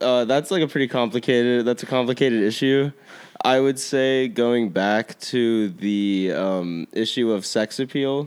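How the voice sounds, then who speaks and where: A man speaks with a normal speaking voice at a medium pitch and a fairly slow pace, his pitch varying in an ordinary way. The recording is very clean with a silent background. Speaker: guest talking about vaping among peers. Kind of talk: casual chat.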